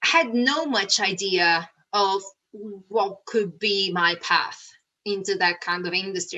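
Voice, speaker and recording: Speaking at a very slow pace, a woman with an Italian accent uses a bright, sharp tone and lively intonation. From Italy, Naples. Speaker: rocket scientist and public speaker. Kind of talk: motivational talk. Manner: hesitant, with fillers.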